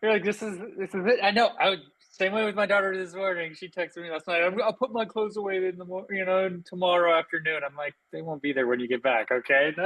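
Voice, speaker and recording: A man talks at a very fast pace in a high pitch. His pitch variation is ordinary. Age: 40s. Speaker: podcast host. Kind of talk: casual chat.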